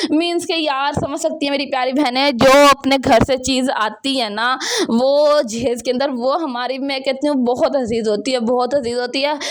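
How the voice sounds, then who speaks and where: A loud woman speaks at a high pitch with hardly any pauses and fairly even intonation. Background noise is noticeable. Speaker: home vlogger. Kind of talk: vlog voice-over.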